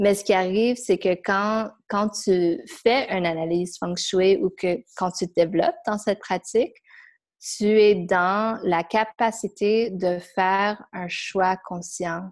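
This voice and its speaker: At a very slow pace, a woman speaks with a medium pitch and fairly even intonation in a very clean recording with a silent background. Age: 30s. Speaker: former dancer and feng shui practitioner. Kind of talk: casual interview. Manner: halting.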